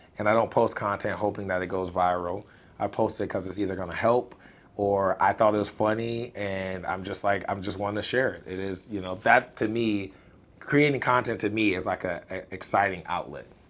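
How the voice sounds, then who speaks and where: The delivery is animated, at a fairly quick pace. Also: man, fairly low pitch for a man. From Illinois, US Midwest. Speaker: content creator. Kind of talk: casual interview. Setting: live stream. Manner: loud.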